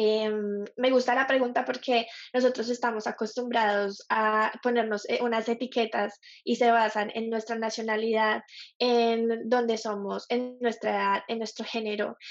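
The woman's pitch is fairly high. She speaks at a fairly slow pace in a monotone, flat way. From Colombia. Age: 20s. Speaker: graphic designer. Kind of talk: interview.

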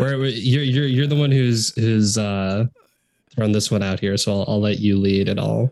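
A man speaks at a moderate pace in a fairly low pitch with ordinary pitch variation. It is an ordinary speaking voice. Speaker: podcast host. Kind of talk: casual chat. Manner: casual, interrupting, filler-heavy.

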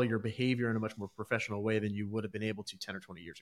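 A man talks with an American accent at a medium pitch. His intonation stays fairly even. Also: very clean recording, silent background. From USA. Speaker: podcast host. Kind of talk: casual interview; show outro.

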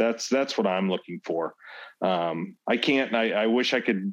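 An ordinary speaking voice with an American accent and ordinary pitch variation. The background is quiet. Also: man. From US Midwest, St. Louis County, Missouri. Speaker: school board candidate. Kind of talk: interview.

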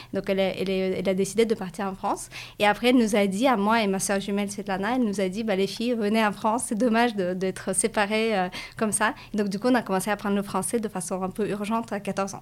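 Very fast and flat in intonation, a woman speaks in a Russian accent on a very clean recording with a silent background. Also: medium pitch for a woman. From Latvia, Russian-speaking community of Riga. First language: Russian (speaking French). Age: 30s. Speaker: business school graduate, startup employee. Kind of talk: interview. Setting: livestream video.

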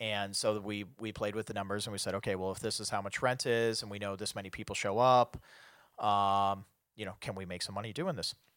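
An ordinary speaking voice with an American accent, at a fairly quick pace with fairly even intonation, on a very clean recording with a silent background. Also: man, fairly low pitch for a man. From US Midwest, Chicago. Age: 30s. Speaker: bar owner and concert promoter. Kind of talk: casual chat.

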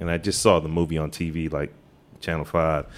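A man speaks at a moderate pace. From Washington, DC, Trinidad-born. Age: 50s. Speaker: graphic artist. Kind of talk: casual chat. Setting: hotel lobby, live recording.

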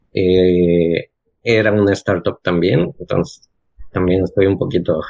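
This man's very deep, low voice moves at a fairly slow pace with fairly even intonation. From Cancún, Mexico. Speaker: remote frontend developer and designer. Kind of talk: casual chat.

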